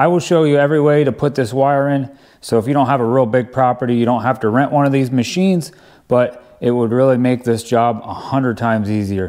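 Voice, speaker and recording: A man's voice with very even loudness and ordinary pitch variation, over a quiet background. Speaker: DIY video host. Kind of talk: tutorial. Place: home room.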